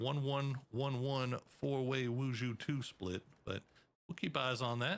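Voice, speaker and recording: A man is speaking with an American accent. His pitch is medium. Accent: Texan, stronger when excited. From Texas. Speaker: esports caster. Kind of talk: live commentary; casual chat.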